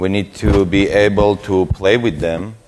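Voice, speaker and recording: A man with a Russian accent speaks at a fairly low pitch amid noticeable background noise. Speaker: security researcher, conference speaker. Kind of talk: conference talk.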